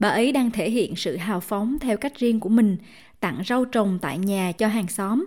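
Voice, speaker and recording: In a very clean recording with a silent background, a woman speaks at a moderate pace with a fairly high, somewhat breathy voice and lively intonation. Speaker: podcast narrator. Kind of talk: documentary narration.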